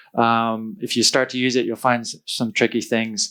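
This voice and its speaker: The man speaks at a fairly quick pace. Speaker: conference speaker. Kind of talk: conference talk. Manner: fast.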